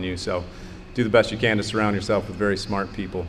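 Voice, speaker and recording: Amid noticeable background noise and audible room echo, a man speaks at a fairly low pitch. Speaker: rocket engineer. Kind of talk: conference panel talk. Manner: loud.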